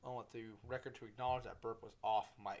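A man talks at a fairly quick pace. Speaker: podcast host. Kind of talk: casual solo podcast monologue. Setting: home studio with microphone. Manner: fast talker; casual, profane, animated.

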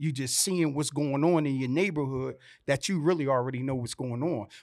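Speech comes with a New Jersey accent and ordinary pitch variation. The recording is very clean, with a silent background. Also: man. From Vineland, New Jersey. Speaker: youth advocate. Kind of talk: panel discussion.

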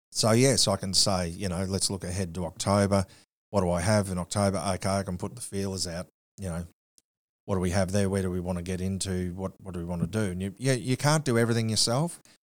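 Speaking at a very fast pace in an Australian accent, a man with a very deep, low pitch keeps his intonation fairly even. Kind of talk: casual interview chat.

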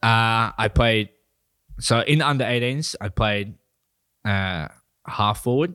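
With an Australian accent and lively intonation, a man speaks on a very clean recording with a silent background. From New South Wales, Australia. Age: 20s. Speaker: stand-up comedian. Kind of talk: casual chat.

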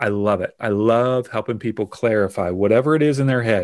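In a very clean recording with a silent background, a man uses an ordinary speaking voice at medium pitch, with ordinary pitch variation and a fairly quick pace. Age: 40s. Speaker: business growth consultant. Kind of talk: interview conversation.

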